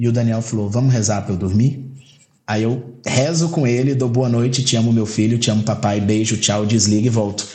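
A man's medium-pitched, dark, mellow and somewhat breathy voice at a fairly quick pace, with audible room echo. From Goiás, Brazil. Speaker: lawyer and bar association president. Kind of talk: casual interview.

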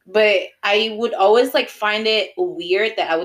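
A woman's normal speaking voice, lively intonation, moderate pace. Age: 30s. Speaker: podcast co-host. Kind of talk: casual chat.

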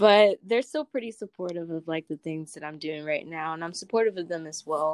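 In an American accent, a woman speaks with hardly any pauses at a fairly low pitch and ordinary pitch variation, the sound dry and close with no echo. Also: fairly quick pace. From US South, North Carolina. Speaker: poet. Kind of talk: casual chat.

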